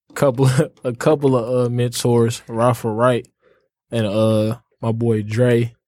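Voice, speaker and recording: Over a very clean recording with a silent background, a man with a medium-pitched, dark, mellow voice speaks at a fairly slow pace in a monotone, flat intonation. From Detroit. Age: 20s. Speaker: college student and clothing entrepreneur. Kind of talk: casual chat.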